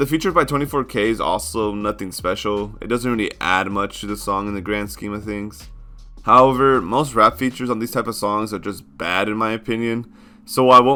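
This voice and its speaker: Over music in the background, the speaker talks at a fairly quick pace with ordinary pitch variation. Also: man. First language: not English. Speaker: music reviewer. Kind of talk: video review commentary.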